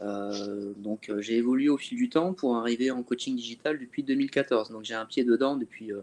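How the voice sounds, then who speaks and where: This is a normal speaking voice at a fairly quick pace. The background is quiet. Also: man. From northern France (Calais). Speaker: fitness coach. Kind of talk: webinar discussion.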